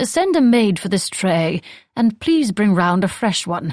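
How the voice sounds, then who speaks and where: In a put-on character voice, a female-sounding speaker drawls at a fairly slow pace and medium pitch, on a very clean recording with a silent background. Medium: read story. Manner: poised, drawling.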